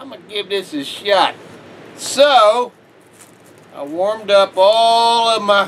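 A man's high-pitched voice at a very slow pace, with ordinary pitch variation and light background noise. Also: big swings in loudness. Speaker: home food reviewer. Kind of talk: casual vlog chat. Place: home room. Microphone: phone near.

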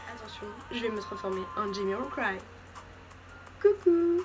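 A woman speaks with music in the background. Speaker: beauty vlogger. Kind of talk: casual talk to camera, fashion haul. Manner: playful, chatty. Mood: playful, joking. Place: home room. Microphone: phone near.

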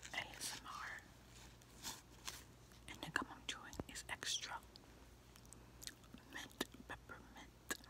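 With long, frequent pauses, the whispering moves at a fairly slow pace. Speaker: ASMR creator. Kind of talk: casual talk to camera. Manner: soft-spoken. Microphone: phone near.

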